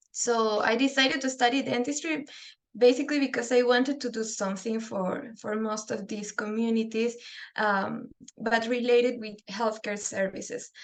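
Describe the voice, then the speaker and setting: The speaker has a Spanish accent. The intonation stays fairly even. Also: woman, fairly high pitch for a woman, moderate pace. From Peru. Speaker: dental public health researcher. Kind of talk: webinar lecture. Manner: halting.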